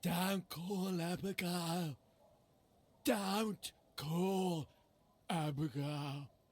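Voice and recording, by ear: A put-on character voice at middle pitch moves at a very slow pace with long, frequent pauses.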